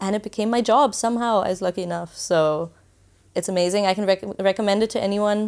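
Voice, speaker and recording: Speaking in a German accent at a very fast pace, a woman keeps a medium pitch and fairly even intonation on a very clean recording with a silent background. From Germany. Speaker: travel blogger. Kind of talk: podcast interview.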